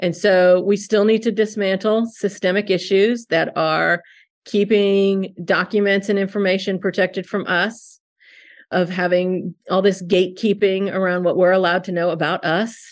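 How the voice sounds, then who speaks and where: At a moderate pace, a woman speaks with monotone, flat intonation and medium pitch. The background is quiet. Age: 50s. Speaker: social worker and adoption agency director. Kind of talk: interview conversation.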